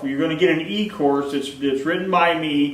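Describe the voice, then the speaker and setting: A man's fairly high voice at a fairly quick pace, amid noticeable background noise and audible room echo. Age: 50s. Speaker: plant nursery owner. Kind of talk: sales pitch. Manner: casual, repetitive.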